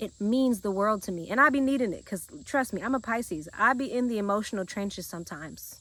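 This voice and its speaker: This woman talks at a fairly quick pace, her pitch fairly high with ordinary variation. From US South, Georgia. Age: 20s. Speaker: vlogger. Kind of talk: casual vlog monologue. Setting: outdoors in a yard. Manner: animated.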